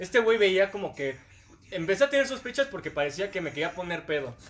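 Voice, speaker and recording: A man's voice with a high pitch. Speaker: dentist. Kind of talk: casual chat.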